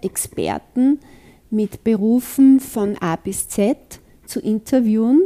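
Dry and close with no echo, a woman's fairly high voice carries a dark, mellow tone and ordinary pitch variation. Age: old. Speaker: author and kinesiologist. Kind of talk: interview.

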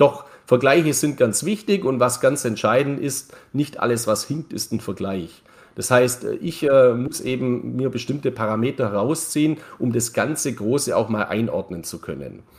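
A man with a plain, everyday voice, medium pitch, fairly slow pace and ordinary pitch variation. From Bavarian Swabia, Germany (Neu-Ulm). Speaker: crypto market commentator. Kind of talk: casual interview.

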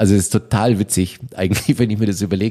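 A man's dark, mellow voice at a very fast pace. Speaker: rock band drummer. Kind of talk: casual interview chat. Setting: in-person recording in Berlin.

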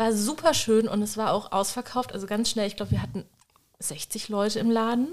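With a plain, everyday voice, a woman talks at a moderate pace, her fairly high pitch showing ordinary pitch variation. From Germany. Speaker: bookshop owner. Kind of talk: casual chat.

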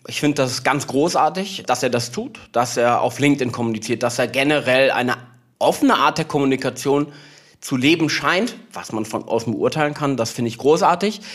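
A man's fairly high-pitched voice at a moderate pace, with ordinary pitch variation and an unremarkable speaking voice. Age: 30s. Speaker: PR agency founder. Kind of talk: interview conversation.

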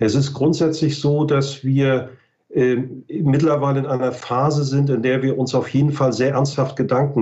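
In a northern German accent, a man speaks at a moderate pace in a somewhat breathy voice with very even loudness and audible room echo. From northern Germany, Mecklenburg-Western Pomerania. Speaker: ecology research institute director. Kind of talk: expert interview.

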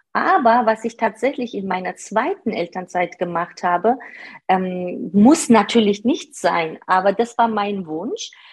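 At a fairly slow pace, a woman with a medium pitch sounds somewhat breathy, her intonation lively. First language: not German (speaking German). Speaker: part-time manager. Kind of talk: interview. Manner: hesitant, many fillers.

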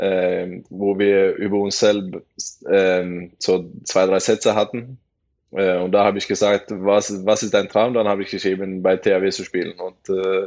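A man at a very slow pace. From western Norway (Bergen area). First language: Norwegian (speaking German). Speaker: professional handball player. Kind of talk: casual podcast interview.

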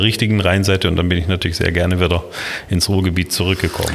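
A man with a Swabian-Alemannic accent speaks in a very deep, low voice against noticeable background noise. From Baden-Württemberg, Kinzigtal (Baden). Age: 50s. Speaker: city planning official. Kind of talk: interview.

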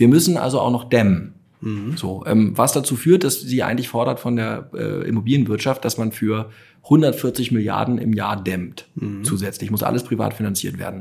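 A man talks at a moderate pace with a medium pitch and ordinary pitch variation. His tone is dark and mellow, and somewhat breathy. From Hamburg, northern Germany. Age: 30s. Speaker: startup founder and CEO. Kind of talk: interview. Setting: company showroom.

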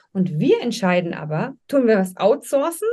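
Talking fairly slowly, a woman has a voice that is somewhat breathy. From Munich, Bavaria. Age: 40s. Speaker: business coach. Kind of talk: interview.

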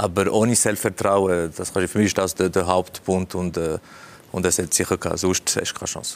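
A man speaks in a very deep, low pitch. His intonation is flat and monotone. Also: moderate pace. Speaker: football pundit and former player. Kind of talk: panel interview. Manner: halting.

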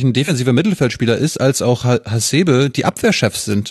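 Somewhat breathy, a man's medium-pitched voice carries lively intonation in a dry, close recording with no echo. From Mecklenburg-Vorpommern, northeast Germany. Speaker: journalist, podcast host as guest. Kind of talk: casual chat.

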